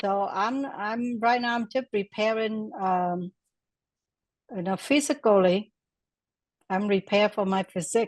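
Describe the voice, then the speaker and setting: A woman with a Vietnamese accent talks at a fairly slow pace with medium pitch and ordinary pitch variation, leaving long, frequent pauses, in a dry, close sound with no echo and a quiet background. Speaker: class participant. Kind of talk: casual testimony. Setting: video call. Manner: halting.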